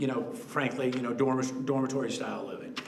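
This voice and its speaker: A man's medium-pitched voice comes through noticeable background noise and audible room echo. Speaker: developer presenting to city council. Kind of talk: public presentation at council meeting. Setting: council chamber meeting.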